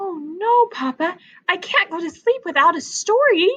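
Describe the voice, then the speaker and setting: An extremely high-pitched put-on character voice from a woman. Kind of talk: bedtime story. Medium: read story. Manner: eager, impulsive.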